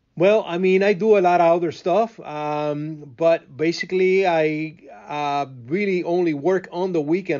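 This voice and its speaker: Someone speaks in a Cuban accent at a moderate pace, with hardly any pauses. The pitch varies in an ordinary way. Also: man. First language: Spanish. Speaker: radio host and event producer. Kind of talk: interview. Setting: radio studio. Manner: halting, with repeated words and fillers.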